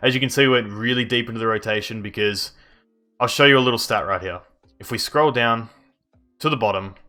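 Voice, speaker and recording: Over music in the background, a man talks at medium pitch with fairly even intonation. He leaves long, frequent pauses. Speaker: video game youtuber. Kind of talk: gameplay commentary. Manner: quiet, subdued; casual, conversational.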